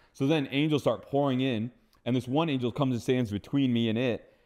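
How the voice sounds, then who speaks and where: Talking at a very fast pace, a man speaks in a General American accent. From Phoenix, Arizona. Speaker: seer and deliverance minister. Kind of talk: testimony interview answer. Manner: casual, conversational.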